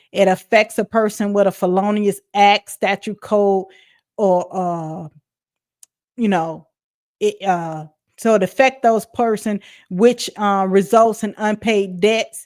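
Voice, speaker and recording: In a Southern US accent, a woman speaks at a very slow pace with long, frequent pauses and fairly even intonation, the sound dry and close with no echo on a very clean recording with a silent background. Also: medium pitch for a woman. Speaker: podcast host. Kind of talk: educational talk. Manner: drawling; halting.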